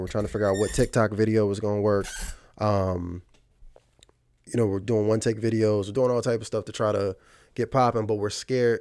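A man with an American accent speaks fairly quickly at a fairly low pitch. His tone is dark and mellow, and his intonation monotone and flat. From Virginia, Fredericksburg. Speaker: hip hop artist. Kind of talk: casual interview.

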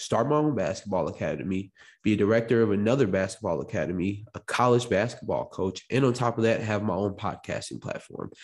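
Speaking at a fairly quick pace with a plain, everyday voice, a man with an American accent uses ordinary pitch variation against a quiet background. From Illinois, US Midwest (Chicago, Morris). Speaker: podcast host and entrepreneur. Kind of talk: solo podcast monologue. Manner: casual, conversational.

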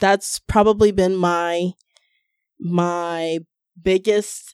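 A woman's medium-pitched voice, dry and close with no echo, over a quiet background. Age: 30s. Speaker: massage therapist. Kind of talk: casual chat. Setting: studio.

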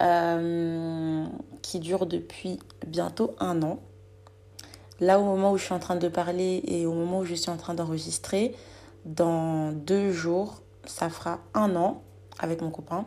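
Over music in the background, the speaker goes very slowly in a monotone, flat intonation, with long, frequent pauses. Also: woman, fairly low pitch for a woman. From Guinean heritage. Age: 20s. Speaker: podcast host, student. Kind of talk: solo casual monologue. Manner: hesitant, many fillers.

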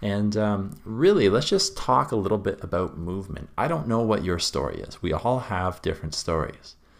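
With an ordinary speaking voice, a man talks at a moderate pace with a fairly low pitch, lively intonation and hardly any pauses. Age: 20s. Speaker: podcast host. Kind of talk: solo podcast monologue.

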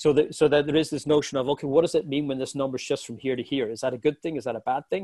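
A man with an Irish accent races along at a very fast pace with hardly any pauses. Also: fairly high pitch for a man. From Ireland. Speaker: software executive. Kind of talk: interview. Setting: podcast. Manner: animated.

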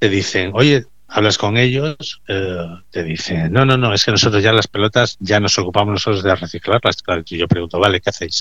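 Pitched fairly low, a man speaks at a fairly quick pace with hardly any pauses. His pitch varies in an ordinary way, in an unremarkable speaking voice. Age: 50s. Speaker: recycling business owner. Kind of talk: radio interview.

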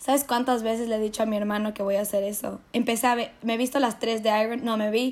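A woman's fairly high voice runs very fast with hardly any pauses. Her intonation stays monotone and flat. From Ecuador (Quito). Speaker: podcast co-host, university student. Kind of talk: casual chat.

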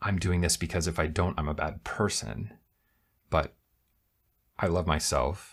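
In an American accent, a man with a very deep, low voice speaks at a fairly slow pace, with fairly even intonation and very even loudness. He leaves long, frequent pauses, and the recording is very clean with a silent background. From US Midwest, Ann Arbor, Michigan. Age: 30s. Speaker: guest. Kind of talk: casual chat.

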